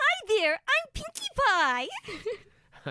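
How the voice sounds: A put-on character voice sits at an extremely high pitch and swings very widely up and down.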